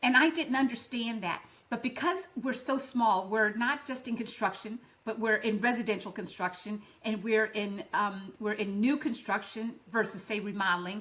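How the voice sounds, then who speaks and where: Against noticeable background noise, a woman speaks at a moderate pace and a fairly high pitch with ordinary pitch variation. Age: 60s. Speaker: barndominium floor plan designer and builder. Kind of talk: interview. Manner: halting, many fillers and restarts.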